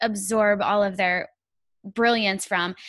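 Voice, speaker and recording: A woman's bright, sharp, enthusiastic voice, dry with no echo, over a quiet background. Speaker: podcast host. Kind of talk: interview. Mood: warm, enthusiastic. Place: home room.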